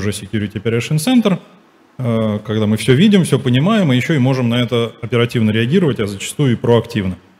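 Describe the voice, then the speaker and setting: This man's intonation is lively. He speaks very fast. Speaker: IT security manager; conference presenter. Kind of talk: conference talk. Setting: stage with audience. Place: hall.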